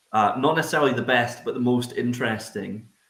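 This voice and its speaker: The speaker is a man with a Scottish accent. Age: 30s. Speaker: distillery representative. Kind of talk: casual chat. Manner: loud.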